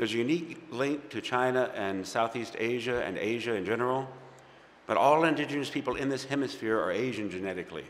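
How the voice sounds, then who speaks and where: The delivery is fairly quick, and the pitch varies in an ordinary way. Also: man. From US South, Baton Rouge, Louisiana. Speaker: archaeologist and tour guide. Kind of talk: talk at a Sunday service. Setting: fellowship service streamed on Zoom. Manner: halting, with false starts.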